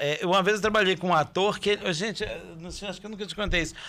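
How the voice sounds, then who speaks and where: A man speaks in a raised, projected voice at a fairly quick pace. His high pitch has a bright, sharp tone. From Brazil, Belo Horizonte metro area; Brazil. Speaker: stage actor. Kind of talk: casual chat. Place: studio. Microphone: studio mic.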